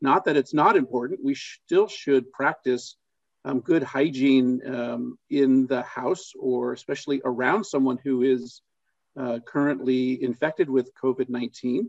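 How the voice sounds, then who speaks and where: Medium in pitch, a man talks at a fairly slow pace in a plain, everyday voice with ordinary pitch variation and a dry, close sound with no echo. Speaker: clinician. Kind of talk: webinar panel discussion.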